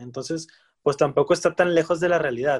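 Dry and close with no echo, a man with an ordinary speaking voice talks at a fairly quick pace and a fairly high pitch, with ordinary pitch variation. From Monterrey, Mexico. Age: 30s. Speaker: football podcast co-host. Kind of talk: casual chat.

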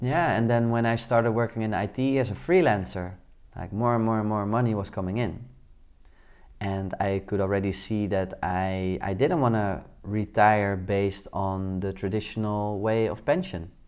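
A man's fairly low voice with a Dutch accent, ordinary pitch variation and a moderate pace. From Netherlands. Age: 30s. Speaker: podcast host, entrepreneur. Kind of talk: solo podcast monologue.

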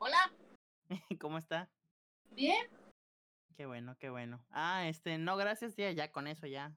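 A woman with a very deep, low voice and a bright, sharp tone speaks at a fairly slow pace with lively intonation, big swings in loudness and long, frequent pauses, in a dry, close sound with no echo. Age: 20s. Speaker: podcast host. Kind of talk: casual chat.

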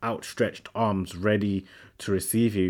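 A man with an English accent speaks at a fairly slow pace on a very clean recording with a silent background. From England, Sri Lankan family. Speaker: seminarian, podcast co-host. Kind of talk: casual faith conversation. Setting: seminary room.

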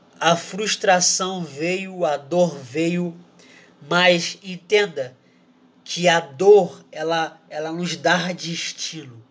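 Very slowly, a man speaks with a high pitch and fairly even intonation. Noticeable background noise sits behind him. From Brazil. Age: 20s. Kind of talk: casual sermon.

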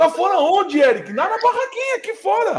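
A man speaks in an animated tone at an extremely high pitch, with very wide pitch swings. His pace is moderate. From Rio de Janeiro state, Brazil (Teresópolis). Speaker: podcast host. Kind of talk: casual chat.

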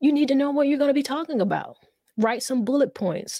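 In a South Carolina accent, the voice has a dark, mellow tone and ordinary pitch variation, with a dry, close sound and no echo. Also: woman. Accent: Southern US (South Carolina). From US South, South Carolina. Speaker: poet and community activist. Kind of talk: casual interview with poetry readings.

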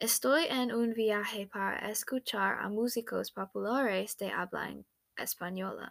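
A woman with an American accent speaks at a fairly slow pace with ordinary pitch variation in a dry, close sound with no echo. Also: medium pitch for a woman. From United States. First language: English (speaking Spanish). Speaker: language student. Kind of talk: student presentation. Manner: halting.

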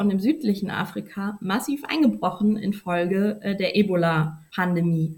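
A woman speaks at a medium pitch and a moderate pace. Her voice is somewhat breathy. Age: 30s. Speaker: journalist. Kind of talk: interview. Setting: podcast recording.

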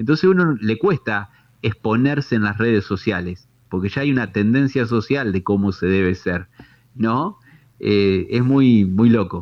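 An ordinary speaking voice belongs to a man who talks at a fairly slow pace with lively intonation. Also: medium pitch for a man. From Tandil, Argentina. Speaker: holistic therapist. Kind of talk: explanatory interview.

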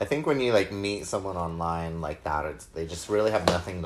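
With noticeable background noise, a man speaks in an American accent, his very deep, low voice keeping a fairly even intonation. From Utah. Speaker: guest musician. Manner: joking.

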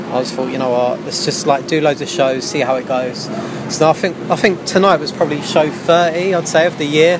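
A man with a London accent talks at a fairly quick pace and a fairly high pitch, with ordinary pitch variation. Noticeable background noise is present. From southeast London. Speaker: gig promoter. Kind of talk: casual interview. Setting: live music venue.

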